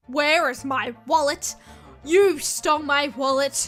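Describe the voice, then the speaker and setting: A woman uses a high-pitched, cartoonish character voice at a fairly slow pace. Faint music plays in the background. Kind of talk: animated storytime narration. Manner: accusing, shouting.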